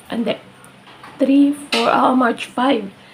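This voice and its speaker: A woman speaks at a high pitch and a very slow pace. Her pitch varies in an ordinary way, with noticeable background noise behind her. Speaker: lifestyle vlogger. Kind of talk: casual vlog. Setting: at home, living room.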